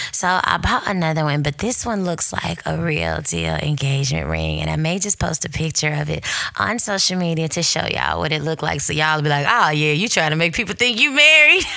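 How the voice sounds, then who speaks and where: Animated in tone, a woman talks at a fairly quick pace with hardly any pauses over noticeable background noise. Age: 30s. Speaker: podcast host. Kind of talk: casual chat.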